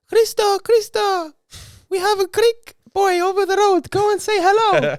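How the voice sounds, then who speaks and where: This put-on character voice sits at an extremely high pitch. It moves along at a moderate pace. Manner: bossy, warm.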